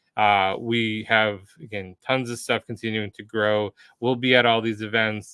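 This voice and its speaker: A man with an American accent, a normal speaking voice and fairly even intonation. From United States. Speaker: livestream host for a developer community. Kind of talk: live stream wrap-up and announcements. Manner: casual with many filler words.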